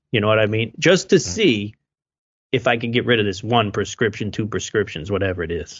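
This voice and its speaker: Here is a man with an American accent and an ordinary speaking voice. He talks at a fairly quick pace in a fairly low pitch, with ordinary pitch variation. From southeastern Pennsylvania, near Philadelphia. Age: 30s. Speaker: podcast host and preparedness author. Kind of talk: interview conversation.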